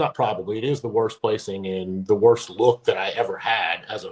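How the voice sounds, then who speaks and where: With a Kentucky accent, a man talks at a fairly quick pace with lively intonation. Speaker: former pro bodybuilder. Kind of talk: podcast interview.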